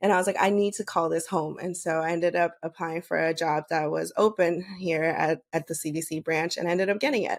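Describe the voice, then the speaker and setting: On a very clean recording with a silent background, a woman with a fairly low pitch speaks at a fairly quick pace, with fairly even intonation and hardly any pauses. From United States, Bolivian family. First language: Spanish. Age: 30s. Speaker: podcast host and public health worker. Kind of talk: interview. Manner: casual, many fillers.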